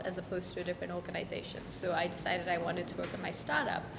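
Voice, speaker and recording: A woman at a very fast pace and medium pitch, with noticeable background noise and audible room echo. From Kenya and South Africa. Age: 20s. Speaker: startup founder, business student. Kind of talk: interview testimonial.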